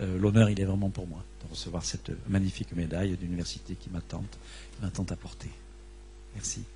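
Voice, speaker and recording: A man with a southern French accent, very deep and low, somewhat breathy and dark and mellow in tone, with very wide pitch swings and long, frequent pauses. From southern France, Vaucluse. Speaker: astrophysicist receiving an award. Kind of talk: acceptance speech. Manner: halting, many repetitions and fillers.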